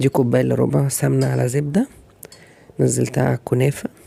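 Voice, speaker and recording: A woman's voice carries a dark, mellow tone and vocal fry. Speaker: cooking channel host. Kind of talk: cooking tutorial. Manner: casual, conversational.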